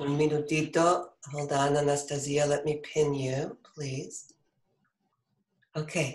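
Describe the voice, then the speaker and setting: Very slowly, a man speaks in a fairly high, somewhat breathy voice with monotone, flat intonation. Long, frequent pauses break up his words. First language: Spanish. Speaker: board member introducing the speaker. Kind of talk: formal introduction.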